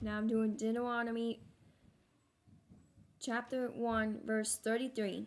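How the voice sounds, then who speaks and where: At a fairly slow pace with long, frequent pauses, a woman speaks in a fairly high pitch with monotone, flat intonation. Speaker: bible reader. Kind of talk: reading aloud. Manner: halting.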